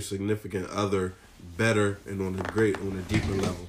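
Amid noticeable background noise, a man talks at a fairly quick pace and a fairly low pitch. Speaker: podcast co-host. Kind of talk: casual chat.

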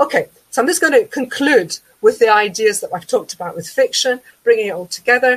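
The voice has a Glaswegian accent and lively intonation. The sound is dry and close, with no echo. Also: woman. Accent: Glaswegian Scottish. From Scotland, Glasgow south side. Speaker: education lecturer. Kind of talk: webinar presentation. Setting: online webinar.

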